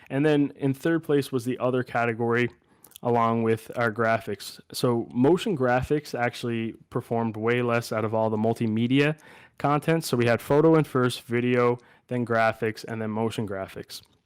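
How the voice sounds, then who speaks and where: With fairly even intonation and a moderate pace, a plain, everyday voice comes through on a very clean recording against a silent background. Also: man, medium pitch for a man. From Canada, Newfoundland (Clarenville). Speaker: graduate student presenter. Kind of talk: research presentation.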